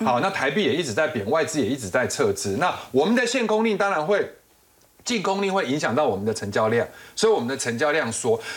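A fairly high-pitched man at a very fast pace, his pitch swinging very widely. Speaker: financial analyst. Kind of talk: TV panel discussion.

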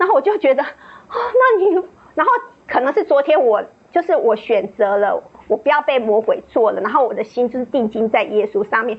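A woman with a high pitch talks at a fairly quick pace, her voice swinging very widely in pitch over noticeable background noise. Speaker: church member giving testimony. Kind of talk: testimony.

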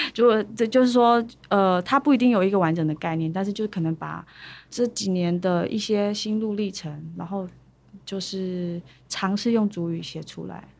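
Over a very clean recording with a silent background, a woman with an unremarkable speaking voice talks at a moderate pace, with medium pitch and ordinary pitch variation. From Taiwan, Pingtung (Paiwan). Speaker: singer-songwriter. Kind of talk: interview.

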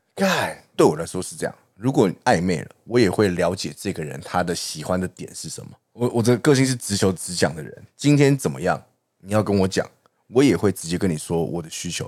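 A man with a Taiwanese accent, a very deep, low pitch, lively intonation and a fairly quick pace. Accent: Taiwanese Mandarin. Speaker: podcast co-host. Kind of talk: casual chat.

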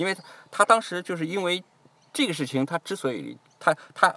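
High in pitch with a bright, sharp tone, a man speaks with lively intonation in a dry, close sound with no echo. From Jiangsu, China. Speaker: immigrant guest. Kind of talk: casual chat.

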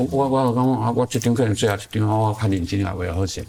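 A man speaks at a fairly quick pace with a fairly low pitch and ordinary pitch variation. Noticeable background noise sits behind him. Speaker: artist. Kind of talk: casual interview. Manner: halting with many fillers and repetitions.

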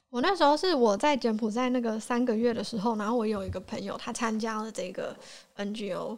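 At a fairly quick pace, a woman speaks in a fairly high pitch with ordinary pitch variation over noticeable background noise. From Taiwan. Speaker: podcast guest. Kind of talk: casual chat.

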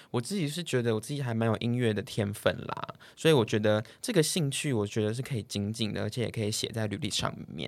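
Barely pausing, a man races along at a very fast pace with ordinary pitch variation. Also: medium pitch for a man. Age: 20s. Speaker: podcast co-host. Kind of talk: casual chat. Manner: animated.

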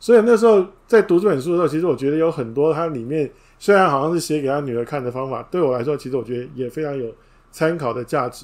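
A man talks at a very fast pace, his fairly high pitch carried by lively intonation. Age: 50s. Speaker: book review podcaster. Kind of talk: livestream book talk.

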